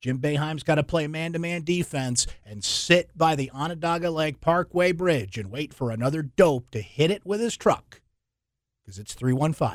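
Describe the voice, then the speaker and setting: A man with a fairly high pitch talks at a moderate pace in an animated, playful tone with lively intonation, on a very clean recording with a silent background. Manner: animated, breezy and playful, with a teasing, wisecracking, conversational tone.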